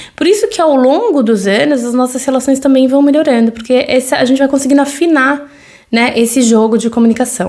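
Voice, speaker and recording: A woman with a Brazilian accent speaks at a fairly quick pace in a high voice, with ordinary pitch variation and very even loudness. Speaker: podcast host, mother. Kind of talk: solo podcast monologue. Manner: conversational, with frequent fillers.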